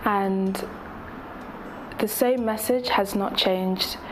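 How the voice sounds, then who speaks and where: A woman with an English accent at a fairly slow pace, audible room echo and noticeable background noise. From England. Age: 20s. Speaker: activist. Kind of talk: interview. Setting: Fiji. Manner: hesitant, many fillers.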